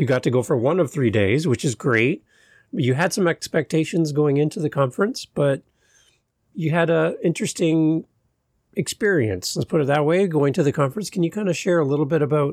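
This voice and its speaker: Recorded very cleanly against a silent background with a dry, close sound and no echo, a man with an unremarkable speaking voice talks at a fairly quick pace and fairly high pitch, his intonation lively and his loudness very even. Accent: Canadian. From Canada. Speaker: podcast host. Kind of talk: casual interview chat.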